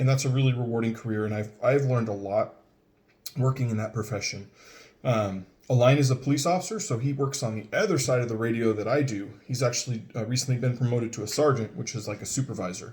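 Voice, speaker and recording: Speaking with an American accent, the voice moves at a very fast pace and sounds somewhat breathy. Pitch variation is ordinary. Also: man, medium pitch for a man. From Northern California (Richmond). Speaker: 911 dispatch center manager introducing himself. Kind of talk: casual video introduction. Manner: hesitant with many fillers.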